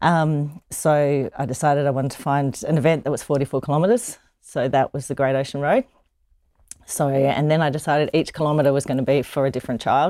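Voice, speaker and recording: A woman with an Australian accent speaks in a very deep, low pitch. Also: fairly quick pace. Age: 50s. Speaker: charity marathon runner. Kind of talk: interview.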